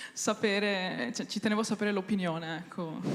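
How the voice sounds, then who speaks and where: A woman with a fairly high pitch and ordinary pitch variation. It is a normal speaking voice. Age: young. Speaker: audience member asking a question; student. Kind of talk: audience question.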